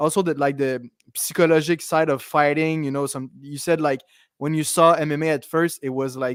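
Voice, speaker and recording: A man speaks in a Quebec accent with monotone, flat intonation. His moderate pace comes through a very clean recording with a silent background. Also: fairly high pitch for a man. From Quebec, South Shore of Montreal. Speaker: podcast host, fight commentator. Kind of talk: casual chat.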